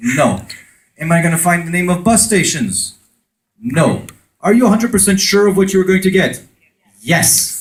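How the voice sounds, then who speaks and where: A man with an American accent talks at a moderate pace in a high pitch, with ordinary pitch variation and very even loudness. Long, frequent pauses break up his speech, and room echo is audible. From France. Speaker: conference speaker on conversion marketing. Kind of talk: conference talk with audience interaction. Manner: animated.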